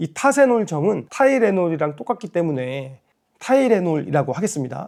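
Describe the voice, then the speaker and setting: A man speaks with a high pitch and very wide pitch swings at a moderate pace. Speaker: YouTuber with kidney disease. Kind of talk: vlog talk to camera. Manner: casual, conversational.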